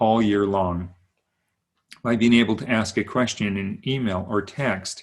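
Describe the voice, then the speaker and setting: Very slow speech from a man, fairly low in pitch, with ordinary pitch variation. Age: 60s. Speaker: wellness coach. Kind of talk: sales pitch.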